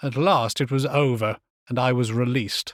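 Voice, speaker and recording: At a fairly slow pace, a man with an ordinary speaking voice and medium pitch comes through a dry, close sound with no echo on a very clean recording with a silent background. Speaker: actor and voiceover artist, audiobook narrator. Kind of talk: short story reading, first-person narration.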